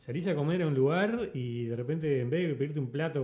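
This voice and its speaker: A man in a normal speaking voice, at a fairly quick pace and with lively intonation. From Uruguay, Montevideo. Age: 30s. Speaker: podcast host. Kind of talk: casual chat.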